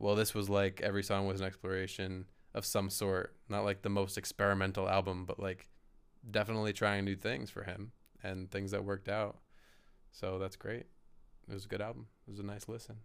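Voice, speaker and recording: Flat, monotone intonation and a fairly low pitch mark this man's speech. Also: fairly quick pace. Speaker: podcast co-host. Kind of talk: casual chat.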